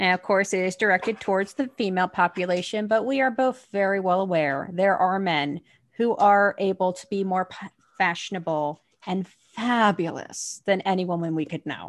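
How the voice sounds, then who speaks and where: A woman with a New Jersey accent speaks at a medium pitch. Her pace is moderate with ordinary pitch variation, and the background is quiet. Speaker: podcast co-host. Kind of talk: casual chat.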